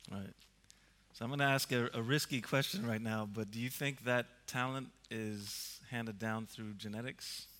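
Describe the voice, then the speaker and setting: Bright, sharp tone from a man at medium pitch. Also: fairly even intonation, moderate pace. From Sweden, Stockholm. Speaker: music and video producer. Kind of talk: on-stage interview. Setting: stage with audience.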